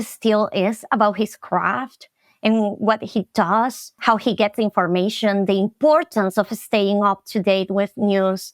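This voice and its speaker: On a very clean recording with a silent background and dry, close sound with no echo, a woman speaks fairly slowly at a fairly high pitch with a Latin American accent. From Venezuela. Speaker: marketing specialist. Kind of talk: podcast interview.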